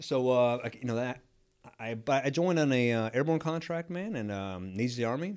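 In an American accent, a man talks at a moderate pace with lively intonation and a medium pitch. He has an unremarkable speaking voice. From Texas. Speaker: army sergeant major. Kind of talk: casual interview.

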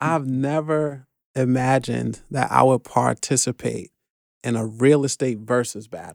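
With a New York accent, a man speaks at a fairly slow pace and medium pitch, his intonation fairly even, in a dry, close sound with no echo. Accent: New York City. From New York City, the Bronx. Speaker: real estate investor. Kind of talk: podcast interview.

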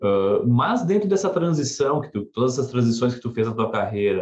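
Somewhat breathy, a man speaks at a medium pitch with lively intonation. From southern Brazil. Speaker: podcast host. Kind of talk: interview.

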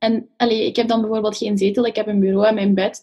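Her voice is fairly high in pitch and somewhat breathy. The woman speaks at a fairly quick pace. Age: 20s. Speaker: psychology student. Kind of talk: casual chat.

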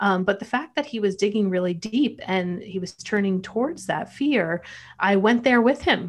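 A woman with a plain, everyday voice, medium in pitch, lively in intonation and moderate in pace. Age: 40s. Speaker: mental health counselor and documentary producer. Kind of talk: interview.

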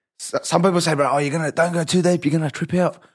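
Recorded very cleanly against a silent background, a man talks at a very fast pace. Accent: Australian. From Western Sydney, Australia. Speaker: comedian and podcaster. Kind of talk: casual chat.

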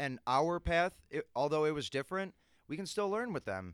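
In a very clean recording with a silent background, a man talks in a plain, everyday voice at a fairly quick pace. The sound is dry and close with no echo, and his intonation is lively. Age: 20s. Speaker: podcast co-host. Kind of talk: casual chat.

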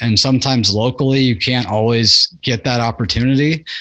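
With an American accent, a man has an ordinary speaking voice at a medium pitch with fairly even intonation. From Nebraska. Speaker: podcast host. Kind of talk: casual chat.

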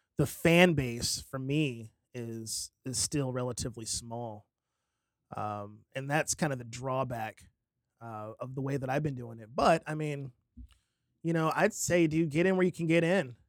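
A normal speaking voice with an American accent shows ordinary pitch variation and big swings in loudness. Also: man, medium pitch for a man, fairly slow pace. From Fort Worth, Texas. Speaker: singer-songwriter. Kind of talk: casual interview. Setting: studio.

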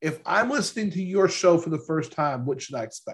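A man talks at a moderate pace with a high pitch and lively intonation. The background is quiet. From Louisiana. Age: 40s. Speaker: podcast host and financial advisor. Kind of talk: casual interview.

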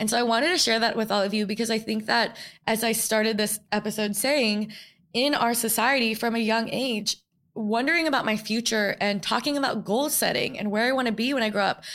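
A woman with an American accent and an unremarkable speaking voice talks at a fairly quick pace with a fairly high pitch, fairly even intonation and very even loudness, in a very clean recording with a silent background. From New York. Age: 20s. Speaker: podcast host. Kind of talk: solo reflective monologue. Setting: studio. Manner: casual, filler-heavy.

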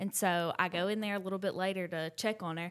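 Ordinary pitch variation from a woman in an American accent. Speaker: mom, podcast co-host. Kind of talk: casual chat.

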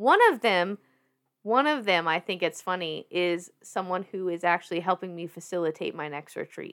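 Her voice is animated, and the woman talks at a moderate pace with medium pitch and ordinary pitch variation. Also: very clean recording, silent background. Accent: slight Southern US. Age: 30s. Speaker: fitness industry worker and massage therapist. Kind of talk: casual chat. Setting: podcast studio. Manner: animated, excitable.

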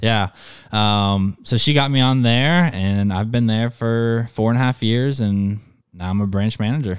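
Ordinary pitch variation and a moderate pace in a normal speaking voice. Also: man, medium pitch for a man. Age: 20s. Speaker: guest filling in for co-host. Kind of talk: casual chat.

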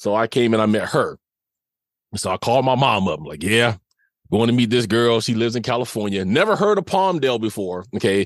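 A man talks fairly quickly with an unremarkable speaking voice and lively intonation. His pitch is medium, and the background is quiet. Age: 50s. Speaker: abuse survivor and podcaster. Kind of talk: testimony.

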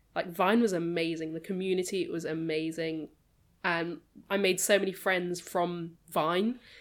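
Speaking fairly slowly with a British accent, a woman has a fairly low pitch and fairly even intonation. The recording is very clean, with a silent background. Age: 20s.

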